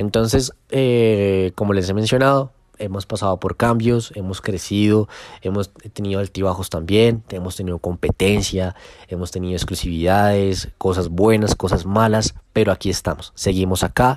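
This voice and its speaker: A man with an unremarkable speaking voice, fairly low in pitch and fairly even in intonation, at a moderate pace, in a dry, close sound with no echo on a very clean recording with a silent background. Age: 20s. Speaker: football social media account owner. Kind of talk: casual podcast monologue.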